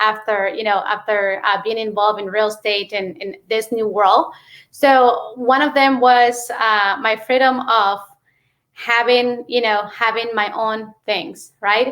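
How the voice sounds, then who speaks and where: In a Mexican accent, a woman speaks at a fairly slow pace. Her pitch is fairly high, and her intonation is fairly even. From Mexico. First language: Spanish. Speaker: real estate investor. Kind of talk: interview. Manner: many fillers and hesitations.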